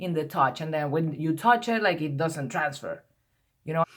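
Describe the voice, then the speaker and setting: A woman talks with lively intonation. She has a non-native accent. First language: not English. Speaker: beauty vlogger. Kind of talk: product review vlog. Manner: rambling, hesitant with many repetitions.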